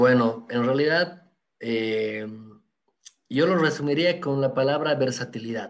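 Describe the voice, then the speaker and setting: A man speaks at a medium pitch and a very slow pace. He leaves long, frequent pauses. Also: ordinary pitch variation. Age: 30s. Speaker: photographer. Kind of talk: interview. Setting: live stream.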